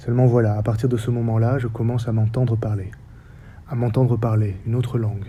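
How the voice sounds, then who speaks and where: A man at a fairly quick pace, monotone, flat intonation, audible room echo. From French Basque Country. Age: 40s. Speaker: theatre director and researcher. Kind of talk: lecture. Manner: formal.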